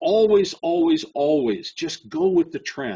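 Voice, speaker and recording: With lively intonation and an animated tone, a man speaks at a fairly slow pace. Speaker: trading educator. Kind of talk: webinar presentation.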